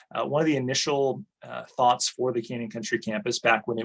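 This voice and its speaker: A man talks at a fairly quick pace. His pitch sits in the medium range. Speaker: college administrator. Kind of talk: online presentation. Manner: fast.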